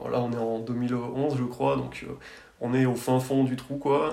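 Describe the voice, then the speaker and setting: Male speech with audible room echo and noticeable background noise. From France, Drôme (Tain-l'Hermitage area). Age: 30s. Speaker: architect. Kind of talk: interview. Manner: halting, many repetitions and fillers.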